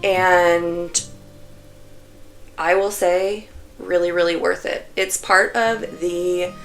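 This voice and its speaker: A woman speaks at a very slow pace. Music sits in the background. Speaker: knitting vlogger. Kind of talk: casual vlog talk. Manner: chatty, filler-heavy.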